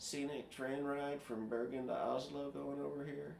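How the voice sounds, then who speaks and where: Over noticeable background noise and audible room echo, a man talks at a fairly slow pace in a relaxed tone, his fairly high pitch showing ordinary variation. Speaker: programmer sharing screen. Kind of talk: casual screen-share tutorial. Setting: screen recording at computer. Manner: relaxed, hesitant with fillers.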